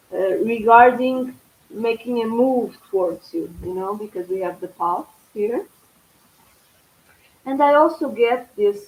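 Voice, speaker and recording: At a fairly slow pace, a woman speaks in a fairly high pitch with a Portuguese accent. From Portugal. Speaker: tarot reader. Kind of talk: live stream tarot reading. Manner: halting.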